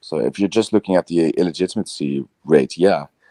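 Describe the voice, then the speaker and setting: In a Dutch accent, a man with a very deep, low pitch and a dark, mellow tone speaks at a moderate pace with ordinary pitch variation, the sound dry and close with no echo. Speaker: video podcast host. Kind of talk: casual debate. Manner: halting.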